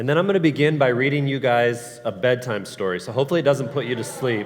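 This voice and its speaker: Talking at a fairly quick pace with ordinary pitch variation, a man comes through over noticeable background noise. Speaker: Bible class teacher. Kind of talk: class teaching.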